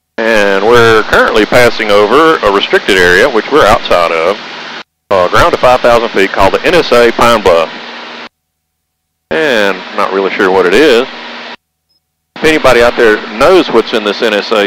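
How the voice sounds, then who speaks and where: Over noticeable background noise, a man with a bright, sharp tone speaks at a moderate pace with lively intonation, the sound dry with no echo. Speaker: vlogger. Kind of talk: casual vlog commentary. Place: plane. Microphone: headset.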